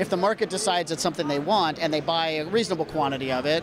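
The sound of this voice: A man talks at a fast pace, his pitch fairly high with ordinary variation. Background noise is clearly audible.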